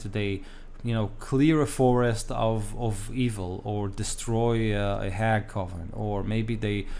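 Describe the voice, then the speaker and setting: A man speaks very slowly with a non-native accent and ordinary pitch variation, and the room echo is audible. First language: not English. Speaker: tabletop game master and YouTuber. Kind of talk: casual talk-to-camera retrospective. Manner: halting, many fillers.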